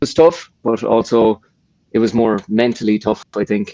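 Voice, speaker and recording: Recorded dry and close with no echo, a man with an Irish accent speaks at a fairly slow pace, with medium pitch and ordinary pitch variation. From Ireland. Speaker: personal trainer. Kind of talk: casual chat. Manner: halting.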